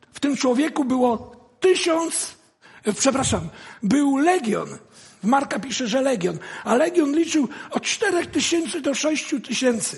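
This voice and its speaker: A man with an extremely high pitch speaks at a very slow pace with lively intonation. Noticeable background noise runs underneath. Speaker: guest preacher. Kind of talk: sermon.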